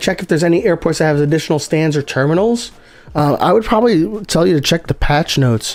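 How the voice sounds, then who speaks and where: A man talks at a very fast pace in a high pitch with ordinary pitch variation. His loudness stays very even while noticeable background noise plays behind him. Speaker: gaming streamer. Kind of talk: live game stream commentary. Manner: casual, filler-heavy.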